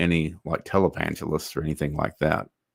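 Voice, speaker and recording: A man is talking here. He has a Texan accent. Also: dry, close sound with no echo, very clean recording, silent background. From north Texas. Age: 60s. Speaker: online commentator. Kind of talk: livestream commentary reading chat. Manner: casual, hesitant with fillers.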